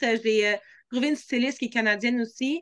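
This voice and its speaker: A woman's high, bright, sharp voice with a Quebec accent and fairly even intonation, against a quiet background. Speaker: dancer and singer. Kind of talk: interview.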